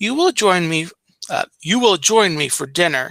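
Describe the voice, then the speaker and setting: Putting on a growling character voice, a man speaks at a high pitch and a moderate pace. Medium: read story. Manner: growling, commanding.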